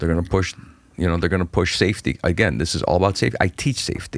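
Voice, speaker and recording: The recording is very clean, with a silent background. A man speaks at a very fast pace with vocal fry. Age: 40s. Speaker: stand-up comedian. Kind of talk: casual chat. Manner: animated.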